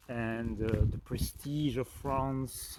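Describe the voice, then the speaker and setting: Speaking with a Belgian French accent, the man has a medium pitch. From French-speaking Belgium. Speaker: spiritual life coach. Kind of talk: reflective talk to camera. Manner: hesitant, many fillers.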